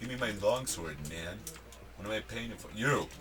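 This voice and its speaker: A man at a moderate pace with very wide pitch swings, audible room echo and noticeable background noise. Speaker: gaming video creator. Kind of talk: let's play commentary. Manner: casual, conversational.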